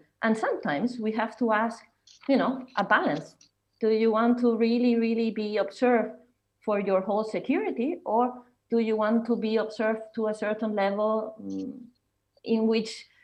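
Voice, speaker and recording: A fairly high-pitched woman speaks with audible room echo. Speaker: conference speaker. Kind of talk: conference presentation. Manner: halting, many fillers.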